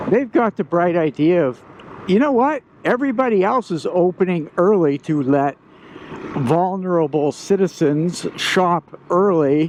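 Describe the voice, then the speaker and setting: A fairly slow delivery over noticeable background noise. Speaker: vlogger. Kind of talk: casual vlog monologue.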